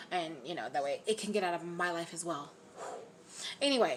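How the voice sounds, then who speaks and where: Her pace is fairly quick. This woman's intonation is lively. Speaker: YouTuber, radiology tech. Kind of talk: casual vlog chat. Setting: at home, on camera. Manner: fast.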